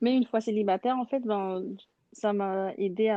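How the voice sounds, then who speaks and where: Moderate pace and fairly even intonation from a woman at medium pitch. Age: 20s. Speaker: churchgoer guest. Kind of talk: testimony. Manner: halting.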